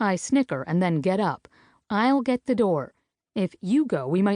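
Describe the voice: The delivery is plain reading aloud with lively intonation. The background is quiet.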